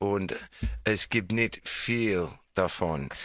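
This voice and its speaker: A man with a non-native accent, very slow pace and lively intonation. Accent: foreign, non-native German. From Australia. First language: English (speaking German). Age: 40s. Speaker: radio show host. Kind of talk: casual chat with children. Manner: halting.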